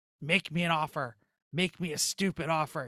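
In a very clean recording with a silent background, a man does a put-on character voice that is raspy and fairly high-pitched, speaking at a moderate pace. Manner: tempting, mischievous.

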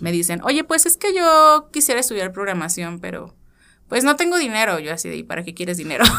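A woman with a Mexican accent speaks in a bright, sharp tone on a very clean recording with a silent background. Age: 30s. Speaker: IT engineer and tech educator. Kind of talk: casual interview.

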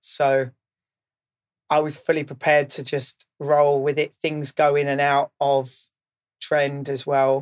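A man with a southern English accent and fairly high pitch at a fairly slow pace, in a dry, close sound with no echo. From Kent, England (Maidstone). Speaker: DJ and music producer. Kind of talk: interview.

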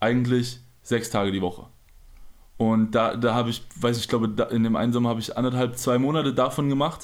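A man talks at a fairly quick pace in an ordinary speaking voice. His medium pitch holds fairly even intonation. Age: 20s. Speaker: professional basketball player. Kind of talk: casual interview.

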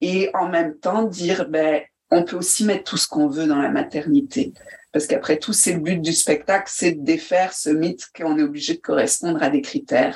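A woman speaks in a fairly low pitch. Her intonation is lively. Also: moderate pace. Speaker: storyteller and actress. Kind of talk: interview.

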